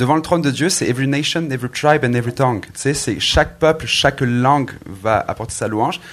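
A man talks in a normal speaking voice. He keeps a moderate pace and ordinary pitch variation. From southern France (Marseille, Aix-en-Provence). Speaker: pastor and worship musician. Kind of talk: panel discussion. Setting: stage with audience.

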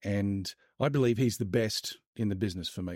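In an Australian accent, a man talks at a moderate pace with ordinary pitch variation, the sound dry and close with no echo. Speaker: marketing expert, author. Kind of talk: casual interview. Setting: video call.

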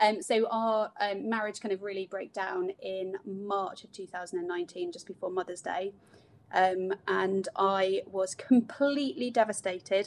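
A woman at a medium pitch, fairly slow and fairly even in intonation, with big swings in loudness. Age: 30s. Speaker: author and single mother. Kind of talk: casual interview. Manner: hesitant, many fillers.

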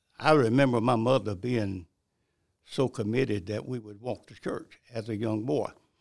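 In a Southern US accent, a man speaks at a medium pitch. His pace is moderate and his intonation fairly even. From South Carolina (Bennettsville, Marlborough County). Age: 80s+. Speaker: retired pastor. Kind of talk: interview testimony.

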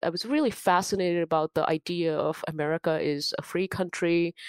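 A woman's fairly low voice with an Indian accent, very cleanly recorded against a silent background, dry and close with no echo. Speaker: cybersecurity professional and nonprofit founder. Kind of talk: casual interview chat.

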